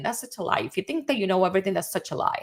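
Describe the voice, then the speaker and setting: A woman speaks with a Dominican accent at medium pitch, her intonation lively. The recording is very clean, with a silent background. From Dominican Republic. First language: Spanish. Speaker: CEO and advertising strategist. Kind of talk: casual monologue, live video. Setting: livestream. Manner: animated.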